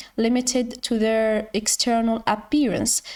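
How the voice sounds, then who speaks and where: With a non-native accent, a woman speaks in a monotone, flat intonation, her fairly high pitch paired with a dark, mellow tone. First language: not English. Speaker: educational YouTuber. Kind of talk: tutorial. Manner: halting.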